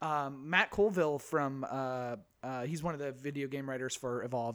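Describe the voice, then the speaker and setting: In a very clean recording with a silent background, a man with a normal speaking voice and fairly high pitch talks at a moderate pace. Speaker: podcast host. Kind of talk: casual chat.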